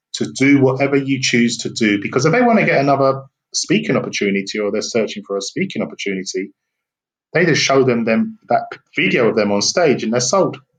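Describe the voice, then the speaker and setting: A man with a British accent speaks at a fairly quick pace, his medium-pitched voice carrying lively intonation. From England. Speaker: business consultant and speaker. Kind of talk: interview.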